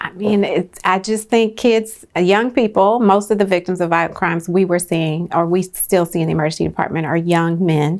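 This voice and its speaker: A woman talks in a plain, everyday voice at a fairly low pitch. She keeps a moderate pace with ordinary pitch variation. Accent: American. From San Francisco, California. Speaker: emergency medicine physician. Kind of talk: interview answer.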